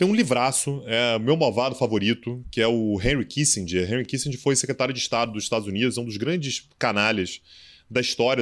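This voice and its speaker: In an unremarkable speaking voice, a man talks at a fairly quick pace with medium pitch. The recording is very clean, with a silent background. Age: 30s. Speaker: international relations professor and commentator. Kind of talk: casual interview.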